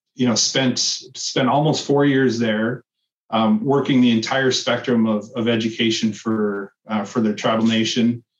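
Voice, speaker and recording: In an Upper Midwest accent, a man speaks fairly slowly in a flat, monotone medium pitch at very even loudness. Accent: Upper Midwest (Minnesota). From northern Minnesota (Cloquet, Duluth). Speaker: state education official. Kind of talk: interview. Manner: halting, with frequent repetitions.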